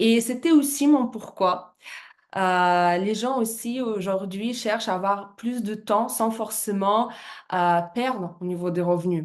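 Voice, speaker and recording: A woman talks at a very slow pace with a medium pitch. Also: ordinary pitch variation. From Russia. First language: Russian (speaking French). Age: 30s. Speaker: business presenter, former fitness coach. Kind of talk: business presentation. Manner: halting, many hesitations.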